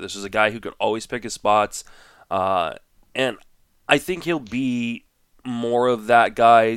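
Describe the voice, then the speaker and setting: Here a man speaks in a fairly low voice with fairly even intonation. The recording is very clean with a silent background. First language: French. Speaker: fantasy baseball analyst co-host. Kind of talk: casual chat.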